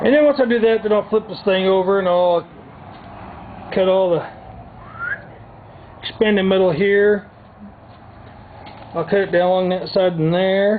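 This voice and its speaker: With a Southern US accent, a man speaks at a moderate pace in a high pitch with fairly even intonation, long and frequent pauses, and noticeable background noise. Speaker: DIY vlogger. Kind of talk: tutorial. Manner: soft-spoken; casual.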